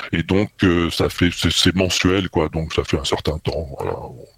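A man speaks over noticeable background noise, the sound dry and close with no echo. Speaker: podcaster. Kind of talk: interview. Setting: remote call. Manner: halting.

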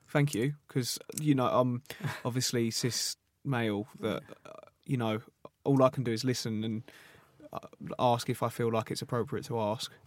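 A man talks at a moderate pace and a medium pitch. He leaves long, frequent pauses. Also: fairly even intonation. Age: 20s. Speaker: podcast host. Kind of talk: casual interview chat. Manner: casual, filler-heavy.

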